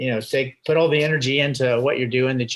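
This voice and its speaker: A very clean recording over a silent background, with a bright, sharp tone and an American accent. The intonation stays monotone and flat throughout. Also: man. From Indiana, US Midwest. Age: 60s. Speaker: retired astronaut and airline pilot. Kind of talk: podcast interview. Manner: halting, many fillers and repeats.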